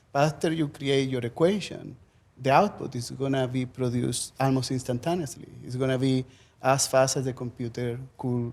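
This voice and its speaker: At a moderate pace and medium pitch, a man talks in a strong Chilean accent with ordinary pitch variation. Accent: thick Chilean Spanish. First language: Spanish. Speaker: professor. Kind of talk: panel discussion.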